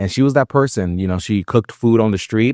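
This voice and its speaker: A very fast man in a New York accent, on a very clean recording with a silent background and a dry, close sound with no echo. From New York City, South Bronx, Puerto Rican family. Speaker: nonprofit executive director. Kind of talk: podcast interview. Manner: many filler words, halting.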